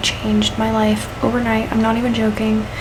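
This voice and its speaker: A soft-spoken woman talks at a moderate pace over noticeable background noise. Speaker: book reviewer. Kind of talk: casual talk to camera.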